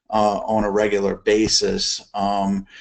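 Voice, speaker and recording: A man speaks with an American accent at a fairly low pitch. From US South, New Orleans, Louisiana. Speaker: EMS chief. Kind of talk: case study presentation. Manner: hesitant, many fillers.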